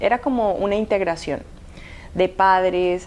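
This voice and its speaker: A woman speaks very slowly at a medium pitch. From Colombia (Cali), born in Havana, Cuba. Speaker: model. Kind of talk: interview. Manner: hesitant with fillers.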